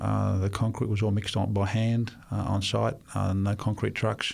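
Speaking with an Australian accent, a man talks at a moderate pace in a fairly low pitch. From Australia, Sydney. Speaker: volunteer missionary builder. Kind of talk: interview.

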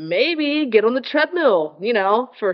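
A woman speaks with very wide pitch swings. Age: 30s. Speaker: fitness podcast host. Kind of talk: solo casual monologue. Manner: animated.

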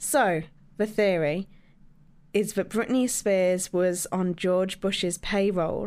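A woman talks slowly, her pitch fairly low, in a clear, smooth tone with fairly even intonation. The recording is very clean, with a silent background.

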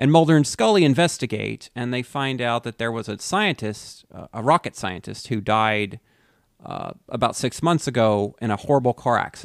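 In a normal speaking voice, a man talks at a medium pitch with ordinary pitch variation and big swings in loudness, recorded very cleanly against silence, dry and close with no echo. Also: moderate pace. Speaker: podcast co-host. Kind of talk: casual chat.

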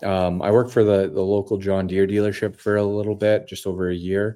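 Captured in a very clean recording with a silent background, a man with a Canadian Prairies accent speaks at a fairly low pitch in a dark, mellow tone. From Saskatchewan, Canada. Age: 30s. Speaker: podcast host. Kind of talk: casual monologue. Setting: home studio. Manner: hesitant, many fillers.

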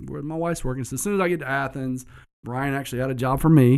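Someone with a Southern US accent talks with ordinary pitch variation in a very clean recording with a silent background. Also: man. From US South, south Georgia. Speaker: entrepreneur, business owner. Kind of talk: casual interview chat.

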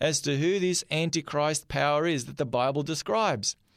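Recorded very cleanly against a silent background, a man with an Australian accent and a fairly high pitch speaks at a moderate pace. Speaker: pastor. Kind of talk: sermon.

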